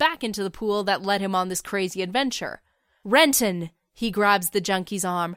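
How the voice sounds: A natural reading voice is heard with a quiet background.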